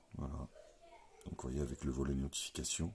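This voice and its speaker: Vocal fry in a dark, mellow tone. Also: man. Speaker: tech reviewer. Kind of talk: unboxing tutorial. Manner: casual.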